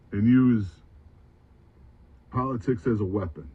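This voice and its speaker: Very slow speech in a dark, mellow tone, somewhat breathy, with ordinary pitch variation. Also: man. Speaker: student veteran, commentator. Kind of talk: monologue commentary.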